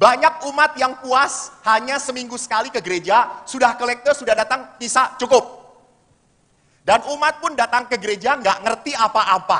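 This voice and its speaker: The voice is raised and projected, with an animated tone. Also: man. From Solo area, Central Java. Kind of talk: seminar talk. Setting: hall with audience.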